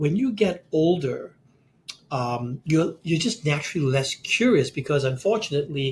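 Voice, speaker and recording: His voice is fairly high for a man, somewhat breathy, with lively intonation. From Singapore. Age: 60s. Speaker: CEO coach and author. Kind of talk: podcast interview. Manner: animated, frequent repetitions.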